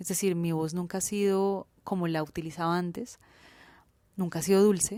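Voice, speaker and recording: Speaking at a moderate pace, a woman uses a medium pitch and fairly even intonation in a dark, mellow tone. The recording is very clean, with a silent background. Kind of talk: owned, not sweet.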